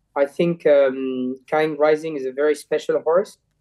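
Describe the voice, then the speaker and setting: A man with a French accent, fairly high in pitch, fairly slow in pace and fairly even in intonation. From France. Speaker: jockey. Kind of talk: interview. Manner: halting, many repeated words.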